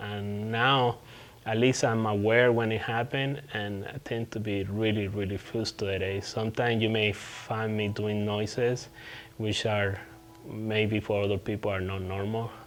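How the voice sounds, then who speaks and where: In a Puerto Rican accent, the speaker talks at a fairly slow pace with monotone, flat intonation. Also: man, fairly low pitch for a man. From Puerto Rico. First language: Spanish. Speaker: veteran hiker vlogger. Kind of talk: casual vlog update. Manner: halting, hesitant with repetitions.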